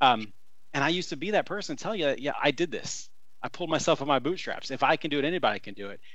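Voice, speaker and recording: Bright and sharp in tone, a man talks very fast with an American accent. His pitch varies in an ordinary way. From US Midwest (Columbus, southern Indiana). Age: 30s. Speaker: former political campaign manager. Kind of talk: casual interview.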